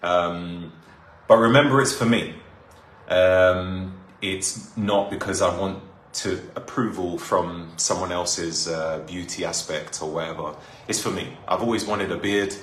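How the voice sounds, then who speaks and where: The speaker talks at a fairly slow pace in a London accent, with ordinary pitch variation. Audible room echo and noticeable background noise are present. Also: man, very deep, low pitch for a man. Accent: London accent, sounds clearly British. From North London, England. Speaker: live streamer. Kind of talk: casual chat. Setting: live stream.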